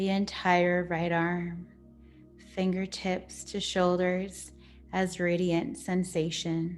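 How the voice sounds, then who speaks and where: A woman's medium-pitched voice, very slow and calm, soothing in tone, with monotone, flat intonation and music in the background. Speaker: yoga nidra and meditation teacher. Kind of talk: guided yoga nidra meditation. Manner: slow, calm, soothing.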